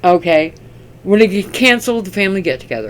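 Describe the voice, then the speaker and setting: This is an unremarkable speaking voice at a moderate pace. The intonation is lively. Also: woman. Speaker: tarot reader. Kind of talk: tarot reading.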